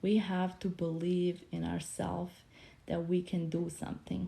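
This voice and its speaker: A woman's medium-pitched voice, dark and mellow in tone and somewhat breathy, with a Bosnian accent. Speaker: motivational speaker. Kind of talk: casual livestream talk.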